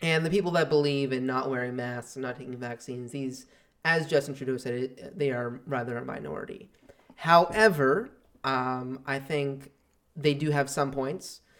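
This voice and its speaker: With an unremarkable speaking voice, the man keeps a medium pitch, ordinary pitch variation and a moderate pace. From outside Canada. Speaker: podcast guest. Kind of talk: casual chat.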